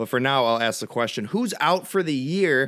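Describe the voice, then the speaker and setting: The recording is very clean, with a silent background. A man talks at a fairly quick pace with very wide pitch swings. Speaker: sports podcast host. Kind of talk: solo sports podcast commentary. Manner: stuttering, halting; casual, conversational.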